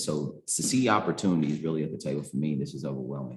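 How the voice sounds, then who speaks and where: A soft-spoken man with an American accent, very deep and low in pitch, talking at a very fast pace. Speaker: community organization founder, formerly incarcerated. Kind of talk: committee introduction. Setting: meeting room with microphones.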